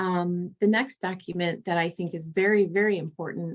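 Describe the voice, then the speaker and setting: Speaking at a fairly slow pace, a woman has a fairly low pitch and fairly even intonation. Hers is a plain, everyday voice. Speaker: litigation paralegal. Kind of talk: presentation to students.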